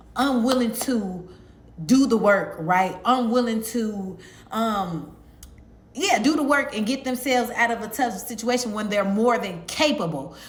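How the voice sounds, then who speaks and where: Against noticeable background noise, a woman with a fairly high pitch speaks at a fairly slow pace with lively intonation. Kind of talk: sermon-style evangelistic message to camera. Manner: conversational, earnest, fluent with filler words.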